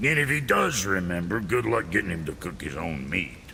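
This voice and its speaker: A man puts on a gruff, rumbling character voice with a very deep, low pitch. He speaks at a moderate pace against clear background noise. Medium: video game. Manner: gruff, profane, grumbling.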